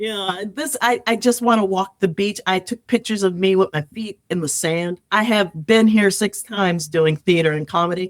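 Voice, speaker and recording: With hardly any pauses, a woman speaks in an animated tone at a medium pitch with ordinary pitch variation. The sound is dry and close, with no echo. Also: moderate pace. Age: 60s. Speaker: improv comedian and teacher. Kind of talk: casual chat.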